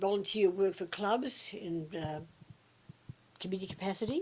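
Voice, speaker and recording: Ordinary pitch variation and a moderate pace in a woman's medium-pitched speech. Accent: Australian. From Australia. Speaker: retiree. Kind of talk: interview answer.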